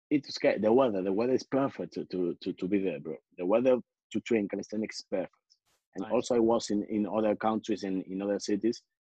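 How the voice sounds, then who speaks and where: Over a quiet background and with a dry sound and no echo, a man in a Spanish accent talks very fast at a fairly low pitch, his tone dark and mellow and his pitch variation ordinary. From Spain. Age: 20s. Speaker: calisthenics athlete; interview guest. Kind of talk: interview. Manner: halting, many repetitions. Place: home room. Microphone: video call.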